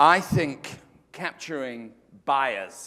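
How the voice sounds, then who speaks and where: A man's medium-pitched, animated voice with a bright, sharp tone on a very clean recording against a silent background. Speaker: real estate speaker. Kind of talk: conference talk. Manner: loud.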